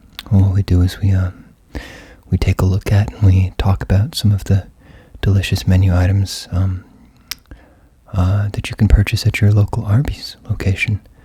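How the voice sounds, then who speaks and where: This man talks at a moderate pace in a flat, monotone delivery with a fairly low pitch. Long, frequent pauses break up his speech, and background noise is noticeable. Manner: whispered, soft, ASMR style.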